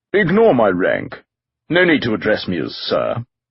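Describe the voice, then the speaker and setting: A man's put-on character voice at a moderate pace. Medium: read story. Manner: calm, informal.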